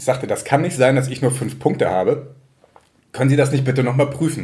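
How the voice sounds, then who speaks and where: Over noticeable background noise, a man with a medium pitch talks at a fairly quick pace. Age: 30s. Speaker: local newspaper journalist. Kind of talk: casual chat.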